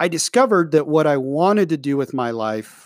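A man is speaking in a very clean recording with a silent background. The sound is dry and close, with no echo. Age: 30s. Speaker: podcast host, former salesman. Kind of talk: personal monologue. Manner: halting, many fillers.

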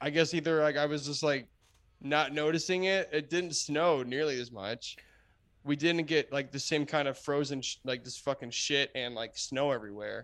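On a very clean recording with a silent background, a man with an American accent and a fairly high pitch talks at a moderate pace with ordinary pitch variation. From New Jersey. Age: 20s. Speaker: band musician. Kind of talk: casual chat. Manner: halting.

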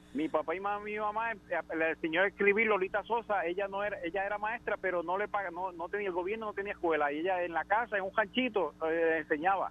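Speaking at a very fast pace with hardly any pauses, this man has a high pitch. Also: fairly even intonation. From Puerto Rico (Naranjito). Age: 50s. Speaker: radio caller. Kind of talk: phone-in call.

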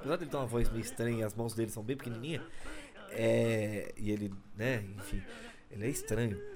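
A man at a medium pitch, talking at a fairly quick pace with long, frequent pauses, amid noticeable background noise. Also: ordinary pitch variation. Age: 30s. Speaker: podcast host, stand-up comedy scene. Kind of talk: casual solo monologue. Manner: talkative, fast.

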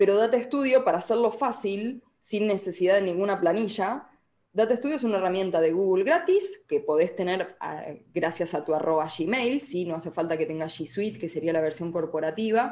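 At a moderate pace, a woman with a dark, mellow tone speaks at medium pitch with lively intonation. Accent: Rioplatense. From Argentina, Buenos Aires province (Escobar). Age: 30s. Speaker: digital organization consultant. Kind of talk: podcast interview.

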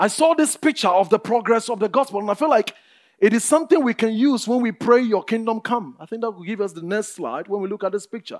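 At a very fast pace over background music, the speaker's loudness swings widely. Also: man, high pitch for a man, ordinary pitch variation. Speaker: preacher. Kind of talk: sermon; fervent prayer, pleading and declaring. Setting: church. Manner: earnest, impassioned, rising in intensity.

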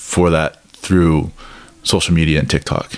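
A man speaks with an American accent. His pitch is very deep and low. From US Midwest. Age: 30s. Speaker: podcast host. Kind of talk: casual interview chat. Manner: hesitant, many filler words.

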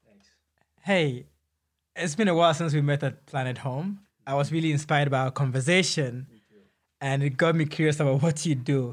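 Over a very clean recording with a silent background, a man talks at a fairly quick pace in a fairly high, somewhat breathy voice with ordinary pitch variation. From Ghana. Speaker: podcast co-host. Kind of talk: interview.

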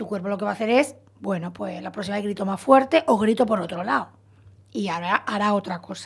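A woman talks at a moderate pace with lively intonation in a somewhat breathy voice. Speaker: psychologist. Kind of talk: radio interview. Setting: radio studio.

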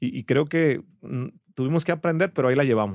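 A man speaks at a medium pitch with lively intonation. The recording is very clean and dry, close with no echo, over a silent background. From Ensenada, Baja California, Mexico. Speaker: entrepreneur and business coach. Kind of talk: casual interview. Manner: animated.

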